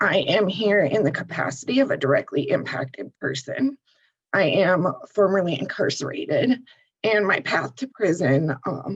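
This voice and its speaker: Somewhat breathy, a woman at medium pitch moves at a moderate pace while her pitch swings very widely. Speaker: formerly incarcerated advocate. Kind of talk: panel discussion.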